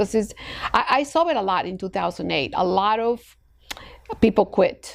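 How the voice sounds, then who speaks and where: Here a woman speaks with a Spanish accent. Her pitch is fairly high. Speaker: escrow company president. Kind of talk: podcast interview. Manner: hesitant, many fillers.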